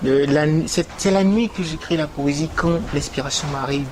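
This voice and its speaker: A man with a Beninese accent speaks at a fairly slow pace in a fairly high pitch, with noticeable background noise behind him. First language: Gun (speaking French). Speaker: poet. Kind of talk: interview. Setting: TV studio. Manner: hesitant, many fillers.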